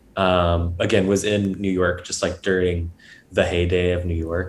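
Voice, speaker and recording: On a very clean recording with a silent background, a man talks at a moderate pace. His pitch is very deep and low. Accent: American. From US South (Georgia, Atlanta suburbs). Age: 20s. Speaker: photographer and drummer. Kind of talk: casual interview conversation.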